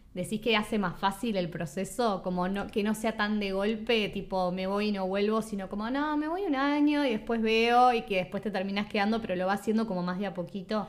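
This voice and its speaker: A woman with a Uruguayan accent, medium pitch and ordinary pitch variation, fairly quick and with hardly any pauses. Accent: Uruguayan, kept while in Spain. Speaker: podcast host. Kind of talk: casual chat.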